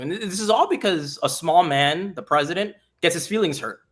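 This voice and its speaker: Here is a man with an American accent and an unremarkable speaking voice. He goes at a fairly quick pace with ordinary pitch variation. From South Florida (Hialeah, Miami area). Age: 30s. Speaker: congressional candidate. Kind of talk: political interview. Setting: live stream.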